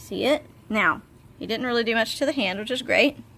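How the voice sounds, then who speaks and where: Noticeable background noise surrounds a woman speaking fairly high. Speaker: reptile keeper and video creator. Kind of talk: casual tutorial.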